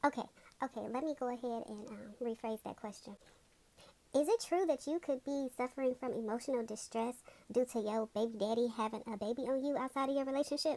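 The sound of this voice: Using a cartoonish character voice, a woman talks at a fairly quick pace in a high pitch. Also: fairly even intonation.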